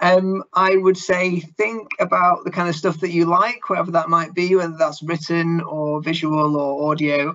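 A man's fairly high, fairly bright voice with little pitch movement and few pauses. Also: moderate pace.

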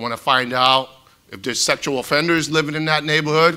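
A man with a Boston accent speaks at a fairly quick pace in a bright, sharp tone. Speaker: retired FBI agent, home seller; home seller. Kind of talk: panel discussion. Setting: stage with audience, live-streamed. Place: hall. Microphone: lapel.

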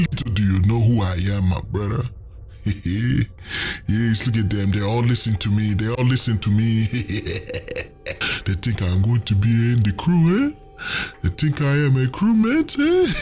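A put-on character voice from a man at medium pitch, with clear background noise behind it. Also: fairly slow pace. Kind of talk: voice trolling in online game voice chat. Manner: playful, boastful.

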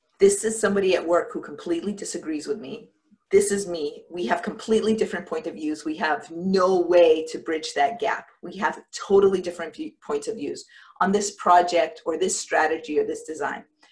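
Against a quiet background, a woman speaks at a fairly quick pace with ordinary pitch variation and big swings in loudness. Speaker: coach giving a talk. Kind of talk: lecture. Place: home room. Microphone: webcam.

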